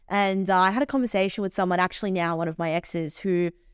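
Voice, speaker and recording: On a very clean recording with a silent background, a woman with an Australian accent speaks fairly quickly at a fairly low pitch with ordinary pitch variation. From Australia, Melbourne. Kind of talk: interview, personal story.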